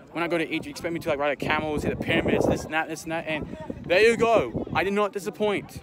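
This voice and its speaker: A man's very fast, high-pitched speech in an Australian accent, excited and enthusiastic in tone, dry with no echo, against loud background noise. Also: ordinary pitch variation. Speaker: travel vlogger. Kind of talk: casual vlog talk to camera. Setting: outdoors. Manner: excited, enthusiastic. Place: open country. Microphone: phone near.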